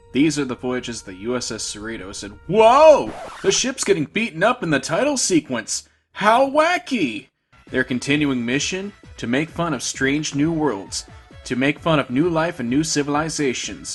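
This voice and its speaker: A man at a fairly high pitch and fairly slow pace, with very wide pitch swings, big swings in loudness and music in the background. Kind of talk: review commentary. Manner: stumbly words.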